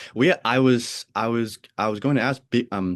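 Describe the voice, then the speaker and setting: An American-accented male voice over a quiet background. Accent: flat Pennsylvania, Oregon. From US, Pennsylvania and Oregon. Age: 20s. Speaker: podcast host. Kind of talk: casual chat. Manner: halting, many repetitions.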